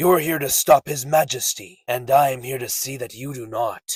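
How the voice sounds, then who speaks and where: A man puts on a cartoonish character voice that is raspy. He speaks at a moderate pace and a medium pitch. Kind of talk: anime dub character impression.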